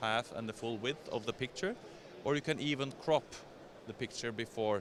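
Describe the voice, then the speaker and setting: A man with a Scandinavian accent at a moderate pace, with ordinary pitch variation. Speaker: software vendor representative. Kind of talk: trade show product demo. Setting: exhibition stand at trade show.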